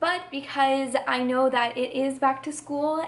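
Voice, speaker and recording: High-pitched woman's voice, fairly even intonation, noticeable background noise. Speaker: YouTuber. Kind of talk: personal testimony vlog. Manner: hesitant, filler words.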